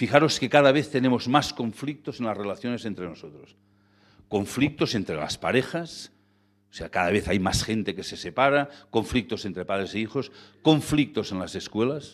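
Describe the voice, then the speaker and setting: Over a very clean recording with a silent background, a man with an ordinary speaking voice talks at a medium pitch and moderate pace with lively intonation. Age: 60s. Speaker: lecturer on ethical banking. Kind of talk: lecture. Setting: stage with audience.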